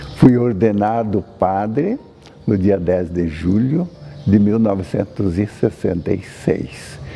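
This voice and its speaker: A man with a fairly low pitch speaks at a very slow pace. Noticeable background noise runs throughout. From Brazil, Paraná (north). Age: 80s+. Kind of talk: testimony.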